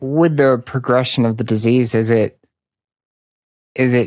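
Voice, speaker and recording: The background is quiet. A man speaks with a dry sound and no echo. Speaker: podcast host. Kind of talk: podcast interview questions. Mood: calm, curious. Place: home room. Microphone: studio mic.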